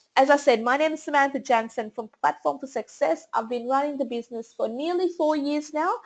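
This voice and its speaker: Lively in intonation, a woman with an Australian accent speaks at a high pitch. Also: quiet background. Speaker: small business marketing strategist and speaker. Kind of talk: webinar presentation. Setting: online webinar. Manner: fast.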